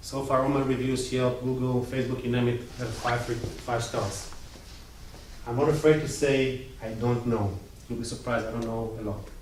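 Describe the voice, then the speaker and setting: With audible room echo and noticeable background noise, a man with an Israeli accent speaks in fairly even intonation. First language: Hebrew. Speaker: IT business owner. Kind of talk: presentation. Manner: casual.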